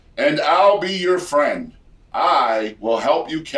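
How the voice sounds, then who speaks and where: In a put-on character voice, a man speaks very slowly at a high pitch. His pitch swings very widely. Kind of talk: bright, hyped-up broadcast delivery.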